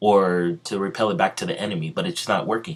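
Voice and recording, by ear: Someone is reading aloud in a natural voice.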